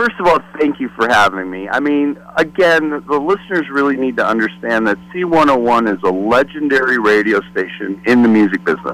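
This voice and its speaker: Over noticeable background noise, a man with an American accent talks at a moderate pace and medium pitch, with lively intonation and hardly any pauses. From US Midwest, Detroit. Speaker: former record promotion rep and podcaster. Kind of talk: casual interview chat.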